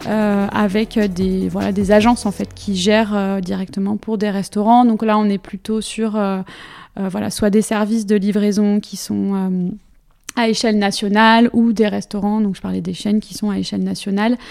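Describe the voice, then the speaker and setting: A woman speaks in a flat, monotone way. Her pace is moderate. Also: medium pitch for a woman. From Brittany, Finistère (France). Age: 30s. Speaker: food Instagram blogger, digital communications worker. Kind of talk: interview. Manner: halting, frequent hesitations.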